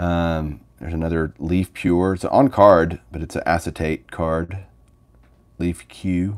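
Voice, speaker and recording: In a relaxed tone, a man speaks very slowly at a very deep, low pitch with ordinary pitch variation over a quiet background. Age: 40s. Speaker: sports card collector YouTuber. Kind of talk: casual livestream chat. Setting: home livestream with mic. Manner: relaxed, conversational. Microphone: phone near.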